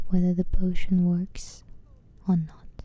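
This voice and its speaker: A woman talks at a very slow pace in a dark, mellow tone that is somewhat breathy. Her intonation stays monotone and flat. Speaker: ASMR channel host. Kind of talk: ASMR book reading.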